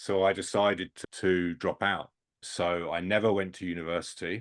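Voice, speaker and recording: In a British accent, a man speaks at a moderate pace with a very deep, low pitch and monotone, flat intonation. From England. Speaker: sports industry headhunter and mentor. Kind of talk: podcast interview.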